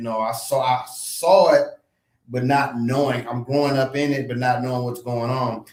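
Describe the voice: A man's medium-pitched voice at a moderate pace, fairly even in intonation, with audible room echo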